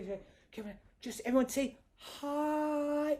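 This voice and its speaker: Pitch moves in an ordinary way here. A man is speaking. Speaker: comedy magician. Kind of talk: comedy magic show patter for families. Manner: playful, upbeat.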